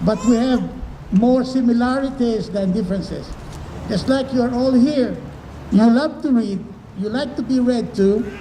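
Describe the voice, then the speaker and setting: A man talks at an extremely high pitch with fairly even intonation and long, frequent pauses. Noticeable background noise and audible room echo fill the recording. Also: moderate pace. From Philippines. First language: Tagalog. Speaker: professor. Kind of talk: talk to children and parents.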